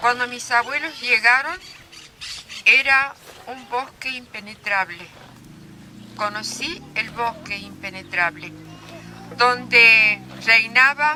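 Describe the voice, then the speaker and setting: Against music in the background, a woman with a fairly high pitch speaks at a very slow pace, leaving long, frequent pauses, her loudness swinging widely. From Argentina, San Luis (Conlara valley). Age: 80s+. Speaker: elder storyteller. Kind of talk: public talk. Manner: halting.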